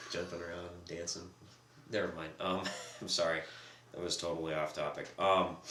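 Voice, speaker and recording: Amid noticeable background noise and audible room echo, a man with a very deep, low pitch speaks in a monotone, flat intonation at a moderate pace, with long, frequent pauses. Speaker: podcast co-host. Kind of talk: casual discussion. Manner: speaking as loud as possible.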